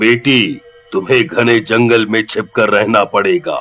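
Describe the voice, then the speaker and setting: Putting on a character voice at a medium pitch, a man speaks at a very slow pace with faint music in the background. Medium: audio drama. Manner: calm, fatherly.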